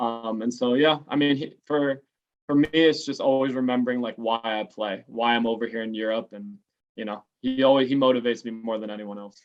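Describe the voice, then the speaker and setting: An unremarkable speaking voice belongs to a man with an American accent, medium pitch, fairly even intonation, a fairly quick pace and big swings in loudness. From Los Angeles, San Fernando Valley. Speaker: American football quarterback. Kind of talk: interview. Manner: casual.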